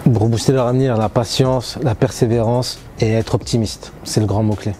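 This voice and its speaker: With music in the background, a man speaks at a fairly quick pace, keeping his loudness very even and his intonation fairly even. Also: medium pitch for a man. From Paris region, France. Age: 30s. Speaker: railway traffic agent. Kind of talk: interview testimony. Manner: hesitant, many fillers.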